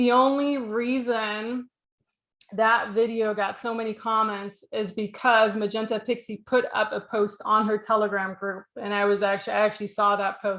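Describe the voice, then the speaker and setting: A woman's fairly high-pitched, monotone, flat voice at a moderate pace. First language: not English. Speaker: spiritual healer and YouTuber. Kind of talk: commentary monologue. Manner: casual, filler-heavy.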